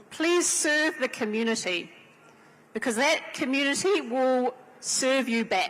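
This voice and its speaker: Speaking at a very slow pace with a strong New Zealand accent, a woman uses a high pitch and lively intonation over noticeable background noise. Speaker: panelist, women's organisation leader. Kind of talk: panel talk at a convention.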